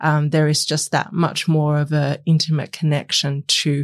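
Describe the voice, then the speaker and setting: This woman's pitch is very deep and low, at a moderate pace. The recording is very clean with a silent background. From Australia, migrated from Taiwan as a child. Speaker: researcher. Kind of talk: panel discussion.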